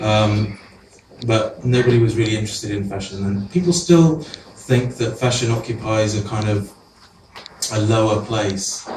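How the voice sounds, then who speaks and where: A man in a Welsh accent, fairly low in pitch with ordinary pitch variation, amid noticeable background noise and audible room echo. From Wales. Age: 40s. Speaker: photographer. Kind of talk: artist talk. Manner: halting; fast.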